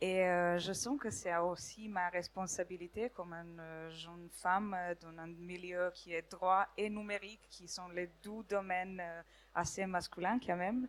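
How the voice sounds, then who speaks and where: A medium-pitched woman with a Serbian accent, fairly even intonation and big swings in loudness, at a fairly slow pace with hardly any pauses. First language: Serbian (speaking French). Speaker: law student. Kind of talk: impromptu audience testimony. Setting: stage with audience. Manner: halting.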